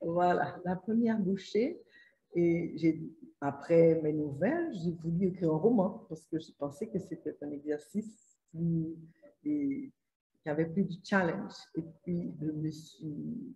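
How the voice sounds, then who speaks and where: Someone with a Haitian accent speaks at a very slow pace, with long, frequent pauses, ordinary pitch variation, and a somewhat breathy, dark, mellow tone. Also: woman, fairly low pitch for a woman. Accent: Haitian French, sing-song. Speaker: author. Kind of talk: interview answer.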